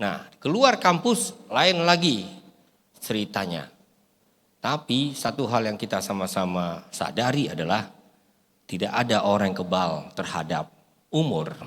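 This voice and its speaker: A man speaking fairly slowly with very wide pitch swings and long, frequent pauses. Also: medium pitch for a man. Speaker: pastor and bible translation consultant. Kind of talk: sermon. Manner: animated.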